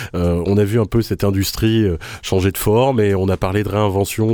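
A man at a moderate pace, his loudness very even, his intonation fairly even, in a dark, mellow tone. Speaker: radio host. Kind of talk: radio show. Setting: studio.

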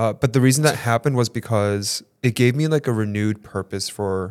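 In a normal speaking voice, a man of fairly low pitch talks at a fairly quick pace with ordinary pitch variation. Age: 30s. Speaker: photographer and podcast co-host. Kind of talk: interview. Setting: studio.

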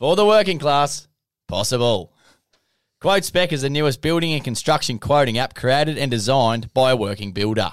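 A man's medium-pitched voice in an Australian accent, lively in intonation, at a moderate pace on a very clean recording with a silent background. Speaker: podcast host. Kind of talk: casual interview chat.

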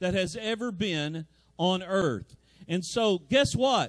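Here a man speaks at a fairly slow pace with a high pitch and lively intonation. The sound is dry and close, with no echo. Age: 50s. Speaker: pastor. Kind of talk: sermon.

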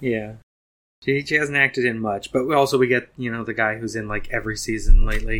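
A man's bright, sharp tone comes at a very fast pace with fairly even intonation. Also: medium pitch for a man. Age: 40s. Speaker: podcast co-host. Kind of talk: casual chat.

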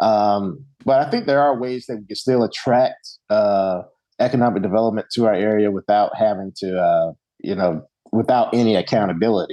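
A man with a fairly low pitch and ordinary pitch variation talks at a moderate pace. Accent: Southern US. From Alabama (Bessemer). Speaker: political candidate. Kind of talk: interview.

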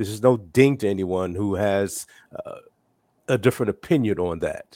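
A man in a normal speaking voice, fairly low in pitch with ordinary variation, at a moderate pace, dry and close with no echo, on a very clean recording with a silent background. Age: 60s. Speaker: father of four discussing parenting. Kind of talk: casual chat.

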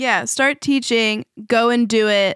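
Fairly high-pitched woman with an American accent, very clean recording, silent background. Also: dry, close sound with no echo. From California. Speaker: podcast network CEO. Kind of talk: casual interview conversation.

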